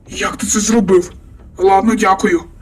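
Putting on a character voice, a man talks at a moderate pace in a raspy, high-pitched tone. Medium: machinima. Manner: impatient, blunt.

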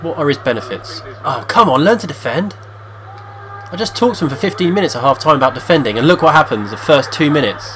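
A man talks at a very fast pace in a serious tone, his pitch fairly high and swinging very widely. Noticeable background noise sits behind him. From England. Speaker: video game player and commentator. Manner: tongue-in-cheek, switching between mock-serious commentary and groans.

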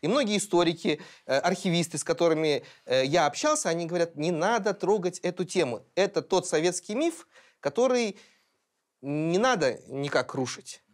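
A man with a high voice and lively intonation talks at a moderate pace over a quiet background. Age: 30s. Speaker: podcast co-host, editor-in-chief; podcast co-host. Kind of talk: panel discussion. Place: studio. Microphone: lapel.

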